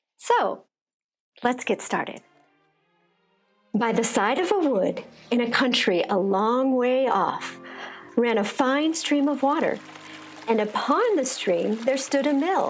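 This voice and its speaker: Very slow, lively-toned speech at a very even loudness, with long, frequent pauses and music in the background. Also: woman, high pitch for a woman. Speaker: actor giving a dramatic storybook reading. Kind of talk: children's storybook reading, dramatic.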